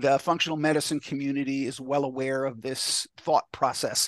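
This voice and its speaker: In a normal speaking voice with an American accent, a man with a fairly high pitch speaks at a moderate pace, the sound dry and close with no echo over a quiet background. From New York. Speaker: neurofeedback clinic founder. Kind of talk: casual chat.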